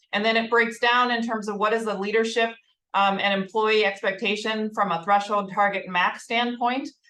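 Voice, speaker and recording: In a Minnesotan accent, the voice has a bright, sharp tone, a moderate pace and monotone, flat intonation. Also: woman, fairly high pitch for a woman. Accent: Minnesota. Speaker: healthcare HR executive. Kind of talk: corporate presentation.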